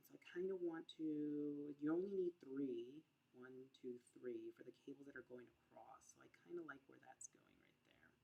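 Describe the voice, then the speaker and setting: Mumbled speech at a moderate pace shows ordinary pitch variation and big swings in loudness. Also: woman, very deep, low pitch for a woman. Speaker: crochet podcaster. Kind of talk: live crochet tutorial. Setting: livestream. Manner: mumbling; casual, thinking aloud.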